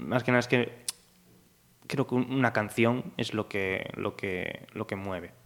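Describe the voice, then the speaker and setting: This man's voice sits at a medium pitch with fairly even intonation. He talks at a very slow pace. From Galicia, Spain (Pontevedra). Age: 20s. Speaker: singer-songwriter. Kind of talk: casual interview.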